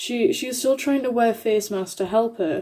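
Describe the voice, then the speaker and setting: A woman talks while music plays in the background. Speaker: YouTuber reading Reddit stories. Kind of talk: casual reading of online stories to camera.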